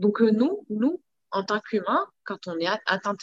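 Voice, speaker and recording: An unremarkable speaking voice moves at a fairly slow pace with ordinary pitch variation. The sound is dry and close, with no echo. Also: woman. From Morocco. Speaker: entrepreneur, wellness enthusiast. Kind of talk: casual interview.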